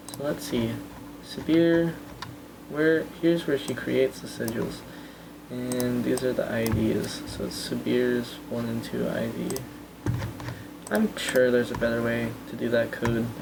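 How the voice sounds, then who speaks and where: The speech comes at a fairly slow pace with long, frequent pauses over noticeable background noise. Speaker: game developer streamer. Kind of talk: live stream devlog commentary. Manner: hesitant, many fillers; pitch raised on purpose.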